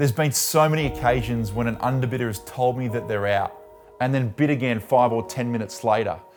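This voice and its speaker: Backed by music, a man talks at a very fast pace with medium pitch and ordinary pitch variation. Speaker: auctioneer. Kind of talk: direct-to-camera profile pitch to property vendors.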